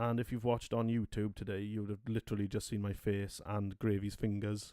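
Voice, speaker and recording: A man's fairly low, dark and mellow voice with a Welsh accent, fairly quick in pace and monotone, flat in intonation. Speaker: podcast host. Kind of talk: casual chat.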